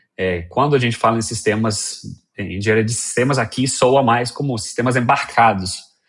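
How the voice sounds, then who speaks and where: A man speaks with a Colombian accent. The background is quiet. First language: Spanish (speaking Portuguese). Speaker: software engineer. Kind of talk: interview. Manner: halting, many fillers.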